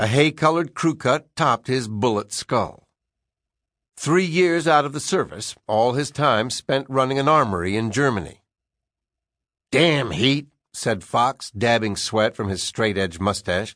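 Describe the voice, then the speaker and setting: A man with an unremarkable speaking voice talks at a fairly slow pace with lively intonation, in a dry, close sound with no echo against a quiet background. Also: medium pitch for a man. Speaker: audiobook narrator. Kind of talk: audiobook narration of a crime novel, reading aloud. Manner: measured, vividly paced storytelling.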